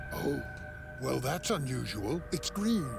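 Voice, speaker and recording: A man's put-on character voice at a fairly slow pace, with loud music in the background. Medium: fan dub. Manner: gentle, genial.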